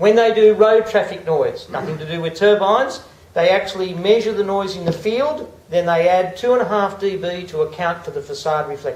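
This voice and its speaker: This man speaks at a fairly quick pace with an Australian accent and a high pitch. Noticeable background noise runs under his voice. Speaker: acoustician. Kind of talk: public presentation. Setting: public meeting with audience. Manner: monotone.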